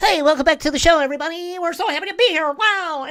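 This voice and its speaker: A put-on character voice at an extremely high pitch and a very fast pace. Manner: over-the-top, fake-cheerful.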